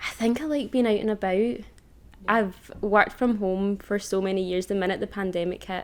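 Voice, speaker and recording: A woman's medium-pitched voice in a Lanarkshire accent, at a moderate pace with ordinary pitch variation. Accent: Scottish (Lanarkshire). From Scotland, Hamilton (South Lanarkshire). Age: 20s. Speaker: estate agent. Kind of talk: podcast interview.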